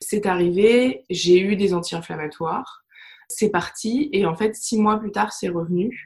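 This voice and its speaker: Speaking fairly slowly with ordinary pitch variation, a woman has an ordinary speaking voice. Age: 30s. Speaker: holistic therapist and digital project manager. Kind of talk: interview testimony.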